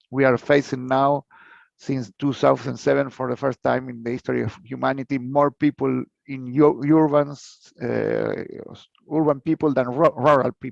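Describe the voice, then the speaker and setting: A man with a Spanish accent speaks at a moderate pace in a monotone, flat intonation. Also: medium pitch for a man, dry, close sound with no echo. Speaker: researcher and professor. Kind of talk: conference lecture. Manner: halting, many fillers and repetitions.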